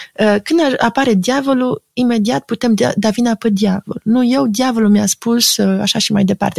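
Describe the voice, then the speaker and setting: A woman speaks at a moderate pace in an unremarkable speaking voice with ordinary pitch variation. The sound is dry and close, with no echo. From Romania. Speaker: psychoanalyst and art critic. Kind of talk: interview.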